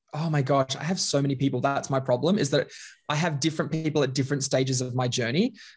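A man speaks with an Australian accent at a fairly high pitch. His voice is somewhat breathy, his intonation fairly even. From Australia, Queensland (Bundaberg). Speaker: leadership and culture consultant. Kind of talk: casual interview chat.

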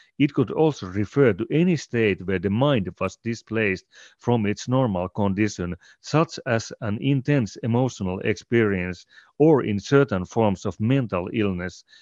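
This man has a Finnish accent, a fairly low pitch and lively intonation. The sound is dry and close with no echo, over a quiet background. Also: moderate pace. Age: 40s. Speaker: podcast host and collective co-founder. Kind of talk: casual interview conversation.

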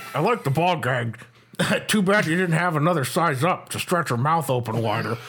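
Someone performs a put-on character voice at a moderate pace with lively intonation. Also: man, fairly high pitch for a man. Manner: crude, leering.

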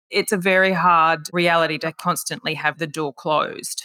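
A woman speaks at a moderate pace with an Australian accent, her pitch fairly low and her tone bright and sharp. The sound is dry and close, with no echo. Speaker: podcast host. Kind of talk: interview.

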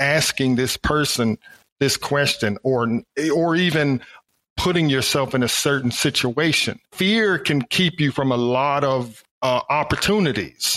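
A man with an American accent speaks very slowly at a fairly high pitch, with ordinary pitch variation. The sound is dry and close, with no echo. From Alabama, US South. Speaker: engineering professor. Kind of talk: interview. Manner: animated.

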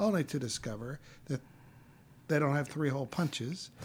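Here a man talks with an American accent at a medium pitch. He sounds somewhat breathy, with ordinary pitch variation. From Texas. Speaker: film property master. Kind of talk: casual interview chat.

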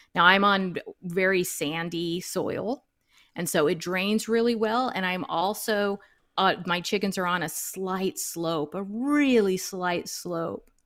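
A woman with an American accent talks at a very slow pace and medium pitch, with ordinary pitch variation, on a very clean recording with a silent background. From US South, suburban Dallas, Texas. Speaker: backyard chicken keeper and online educator. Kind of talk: interview.

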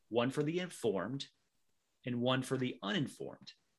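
At a medium pitch and moderate pace, a man with an unremarkable speaking voice talks with ordinary pitch variation, and the recording is very clean with a silent background. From US South, North Carolina. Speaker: tax consultant, former Marine. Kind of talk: interview.

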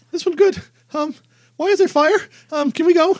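Pitched extremely high, this put-on character voice moves at a moderate pace. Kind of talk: broken, simple phrasing. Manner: simple, alarmed.

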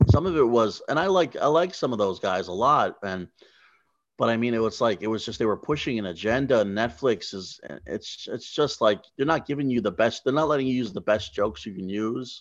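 Over a quiet background, a man talks at a fairly quick pace and medium pitch. He has an unremarkable speaking voice and lively intonation. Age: 40s. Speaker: stand-up comedian. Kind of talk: casual chat. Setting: on location at a casino.

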